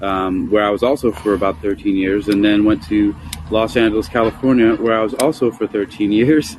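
A man with a fairly low pitch speaks while noticeable background noise runs underneath. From New York City (Queens, Bronx). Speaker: martial arts instructor. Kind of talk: casual chat. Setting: live call-in audio app.

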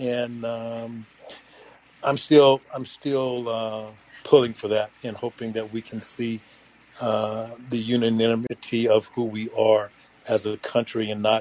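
Against noticeable background noise, a man with an American accent speaks very slowly at a medium pitch, his intonation monotone and flat. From US. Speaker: audience member. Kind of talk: casual group discussion.

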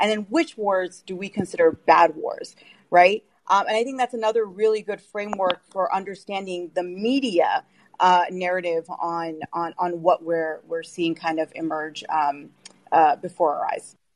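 Talking at a moderate rate, a woman with an unremarkable speaking voice keeps a medium pitch that varies in an ordinary way. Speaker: media critic. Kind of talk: panel discussion.

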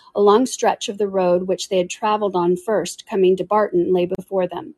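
A reading voice, unforced

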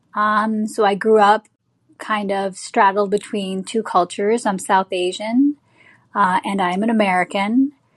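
Against a quiet background, a woman speaks at a medium pitch in a somewhat breathy voice, at a fairly slow pace. Her intonation stays fairly even, and the sound is dry and close with no echo. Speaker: film/TV producer and artist. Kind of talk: interview, storytelling. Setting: online live show.

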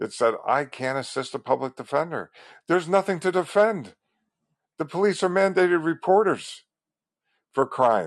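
A man with an American accent and an unremarkable speaking voice, over a quiet background. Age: 60s. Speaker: civil rights advocate podcaster. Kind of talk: solo monologue.

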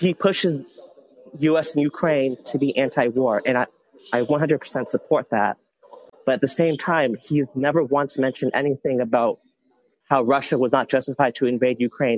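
Fairly high male voice at a moderate pace, very even in loudness, fairly even in intonation, with a dry, close sound and no echo. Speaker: caller. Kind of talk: call-in discussion. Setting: phone call at an airport. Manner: halting.

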